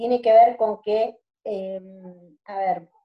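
In a Rioplatense accent, a woman speaks with a dark, mellow tone, a fairly high pitch and fairly even intonation. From Greater Buenos Aires, Argentina. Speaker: microcredit project founder. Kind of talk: interview conversation.

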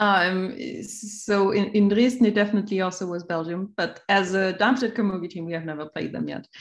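In an ordinary speaking voice, a woman talks at medium pitch and a fairly quick pace. She barely pauses and keeps her intonation fairly even. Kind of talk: casual interview chat.

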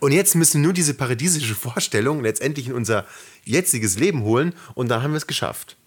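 A somewhat breathy man at a fairly high pitch, with lively intonation and a very fast pace, on a very clean recording with a silent background. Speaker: podcast co-host. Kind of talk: casual chat. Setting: sitting very close to co-host on one mic.

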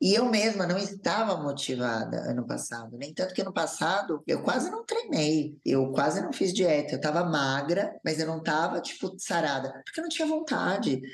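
A woman's fairly low voice with very wide pitch swings, a moderate pace and hardly any pauses, over noticeable background noise. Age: 30s. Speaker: influencer, former reality show contestant and TV dancer. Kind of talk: casual interview, personal testimony.

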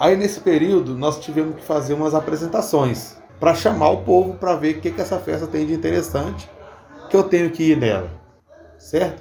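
With noticeable background noise behind him, the man keeps up a fairly quick pace. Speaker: capoeira teacher. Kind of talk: interview.

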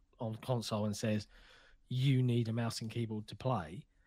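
A man with a British accent speaks at a moderate pace on a very clean recording with a silent background. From Britain. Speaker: video game podcast co-host. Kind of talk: casual chat.

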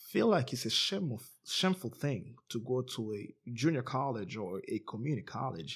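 An unremarkable speaking voice from a man with an American accent, medium in pitch, lively in intonation, and fairly slow in pace. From outside the US. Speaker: podcast host. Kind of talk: podcast interview.

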